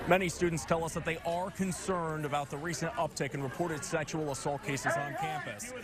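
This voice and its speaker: A somewhat breathy man with an American accent speaks at a fairly quick pace. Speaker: TV news anchor and reporter. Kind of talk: news anchor headline reads.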